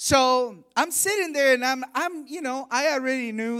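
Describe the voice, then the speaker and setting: An energetic voice with a bright, sharp tone comes through in a very clean recording with a silent background. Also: man. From Honduras. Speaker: missionary and guest preacher. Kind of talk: sermon. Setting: church service with congregation.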